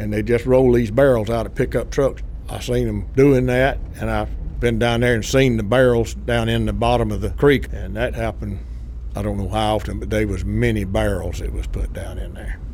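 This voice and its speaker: Noticeable noise sits in the background. Over it, a man talks at a moderate speed. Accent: Southern US. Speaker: former civilian range worker. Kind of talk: interview.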